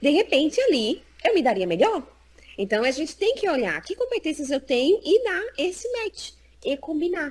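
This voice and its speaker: Pitch swings very widely as the speech holds a moderate pace. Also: woman, extremely high pitch for a woman. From Brazil, Recife (Northeast). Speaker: psychologist and job market specialist. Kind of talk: interview in a live stream. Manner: animated.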